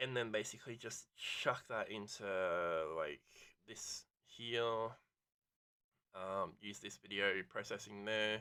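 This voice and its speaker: Mumbling at a very slow pace, a man speaks in a fairly low voice with a bright, sharp tone. His pitch varies in an ordinary way. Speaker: gaming streamer. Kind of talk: casual gameplay commentary. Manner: rambling with many ums and ahs.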